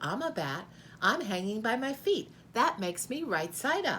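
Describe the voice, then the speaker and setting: A squeaky put-on character voice at a moderate pace, with very wide pitch swings over clear background noise. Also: female-sounding voice, fairly high pitch for a woman. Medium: read story.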